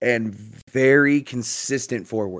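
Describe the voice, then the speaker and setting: A man speaks at a medium pitch. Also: very clean recording, silent background. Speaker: hockey podcast co-host and powerlifter. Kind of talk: casual chat. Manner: subdued, somber-sounding.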